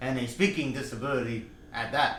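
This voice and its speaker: A man speaks at a fairly high pitch. There is audible room echo. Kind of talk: personal vlog monologue. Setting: in front of a camera. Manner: slow; halting, many fillers.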